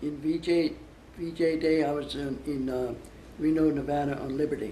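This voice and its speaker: A man speaks at a fairly high pitch with a dark, mellow tone. His intonation is monotone and flat, and there is audible room echo. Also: moderate pace. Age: 80s+. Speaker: war veteran. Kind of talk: interview. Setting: interview for a school project. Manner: halting.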